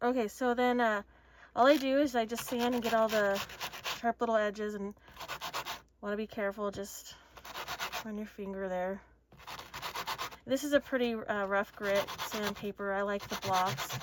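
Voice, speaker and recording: A woman's fairly high voice at a moderate pace, with long, frequent pauses, fairly even intonation and noticeable background noise. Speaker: craft tutorial maker. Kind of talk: tutorial. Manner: casual.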